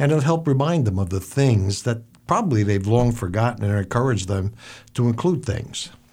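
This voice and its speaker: Recorded very cleanly against a silent background, a man talks at a fairly quick pace with a medium pitch, a somewhat breathy sound, lively intonation and very even loudness. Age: 60s. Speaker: businessman, networking guest. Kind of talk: business advice talk.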